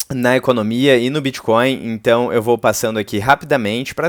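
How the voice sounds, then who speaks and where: Here a man with a plain, everyday voice speaks at a medium pitch and moderate pace, his intonation fairly even and the sound dry and close with no echo. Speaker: crypto YouTuber. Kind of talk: casual commentary video.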